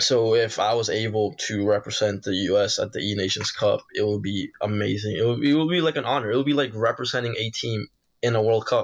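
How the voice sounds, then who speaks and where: A man talks at a fairly quick pace and medium pitch in an ordinary speaking voice. He uses ordinary pitch variation and hardly any pauses. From Peru, moved to US as a child. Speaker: esports pro gamer. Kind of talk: interview.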